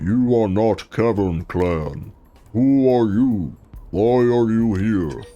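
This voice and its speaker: Faint music plays behind a man using a put-on, guttural character voice at medium pitch and a very slow pace. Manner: suspicious, confronting.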